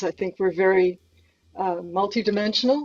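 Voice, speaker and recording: Moderately paced and mid-pitched, a woman talks in an unremarkable speaking voice. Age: 60s. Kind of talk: interview. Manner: frequent fillers.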